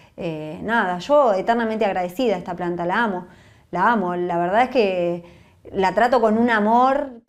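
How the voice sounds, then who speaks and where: In a room with audible echo, a woman speaks at a moderate pace in a medium pitch with ordinary pitch variation. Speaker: mother of a patient. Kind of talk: testimony. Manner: emotional.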